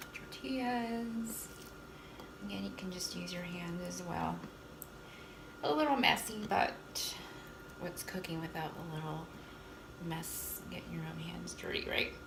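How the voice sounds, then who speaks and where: Soft-spoken delivery at a fairly slow pace, with long, frequent pauses, noticeable background noise and audible room echo. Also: woman. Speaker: cooking vlogger. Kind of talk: casual cooking tutorial.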